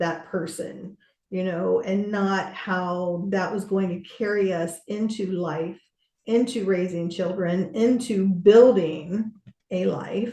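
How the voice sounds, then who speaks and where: Speaking very slowly, a woman has a medium-pitched voice with a dark, mellow tone and ordinary pitch variation. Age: 60s. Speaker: business coach. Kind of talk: podcast interview conversation.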